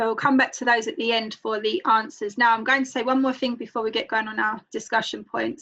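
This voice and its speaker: Fairly quick, fairly evenly intoned speech in a strong London accent. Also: woman, fairly high pitch for a woman. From London, England. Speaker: book club host. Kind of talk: online group discussion.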